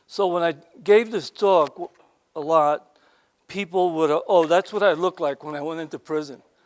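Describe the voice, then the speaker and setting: An American accent at a moderate pace, with fairly even intonation and a dry, close sound with no echo. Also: man, high pitch for a man. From New York, Harlem. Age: 70s. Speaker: former prisoner turned speaker. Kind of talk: talk to an audience. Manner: conversational.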